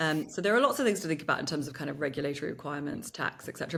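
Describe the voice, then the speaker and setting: Fairly low in pitch, a woman with a British accent speaks at a very fast pace with lively intonation. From England. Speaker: marketing consultant and podcast co-host. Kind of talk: casual chat.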